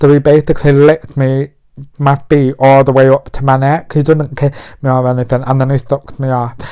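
A man speaks with a British accent at a fairly quick pace. His fairly high voice stays monotone, with flat intonation. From UK. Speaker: podcast host. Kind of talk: casual monologue. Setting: in bed at home. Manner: put-on feminine voice.

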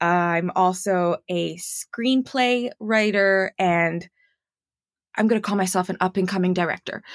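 A woman speaks at a fairly slow pace with fairly even intonation in an ordinary speaking voice. The very clean recording has a silent background and a dry, close sound with no echo. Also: medium pitch for a woman. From Montreal, Canada. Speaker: actor and voice actor. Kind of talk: casual chat. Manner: friendly, laughs often.

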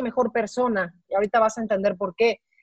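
Her pace is fairly quick and her intonation fairly even. The woman's sound is dry and close, with no echo. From Mexico. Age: 40s. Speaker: sports executive and former TV sportscaster. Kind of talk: interview. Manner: halting, frequent repetitions.

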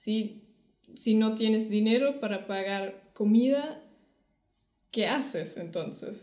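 Speaking very slowly with long, frequent pauses, a woman has a German accent and ordinary pitch variation. Audible room echo surrounds her voice. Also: fairly high pitch for a woman. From Germany. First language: German (speaking Spanish). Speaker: podcast co-host. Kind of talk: casual chat.

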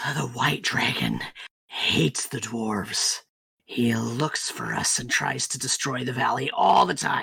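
At a fairly slow pace, the speaker uses a raspy, put-on character voice. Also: man, medium pitch for a man. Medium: actual play. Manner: gruff, curt.

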